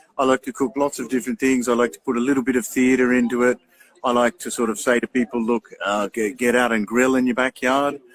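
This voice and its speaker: Talking at a very fast pace with an Australian accent, a man keeps a monotone, flat intonation in a dry, close sound with no echo. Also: medium pitch for a man. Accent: thick Australian. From regional Australia, Albury. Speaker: barbecue show host. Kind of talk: casual interview chat.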